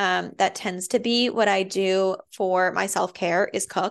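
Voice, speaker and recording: A woman speaks at a fairly slow pace with fairly even intonation. Her pitch is medium, and the background is quiet. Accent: American. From Massachusetts, Andover. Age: 20s. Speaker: postpartum doula and podcast host. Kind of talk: casual monologue. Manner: chatty with many fillers.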